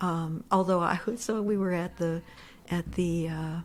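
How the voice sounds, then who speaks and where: Somewhat breathy delivery with fairly even intonation and an American accent. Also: woman. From Pennsylvania, Pittsburgh. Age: 60s. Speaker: economic development executive. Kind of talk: casual interview. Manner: halting, stammering restarts.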